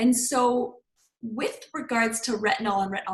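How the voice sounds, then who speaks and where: Her tone is animated. This woman speaks at a high pitch. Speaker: clean beauty consultant. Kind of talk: online presentation. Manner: fast.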